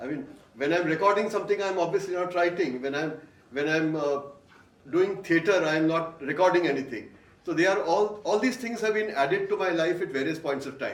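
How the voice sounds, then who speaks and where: A loud voice with lively intonation moves at a fairly quick pace, with audible room echo and noticeable background noise. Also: man. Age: 60s. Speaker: voice artist and author. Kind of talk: onstage interview. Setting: stage with audience.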